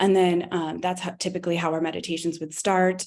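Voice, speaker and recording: A woman speaks at a fairly quick pace with fairly low pitch and monotone, flat intonation. The recording is very clean, with a silent background. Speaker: camp director and educator. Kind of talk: conference talk. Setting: conference talk to audience. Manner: hesitant, many fillers.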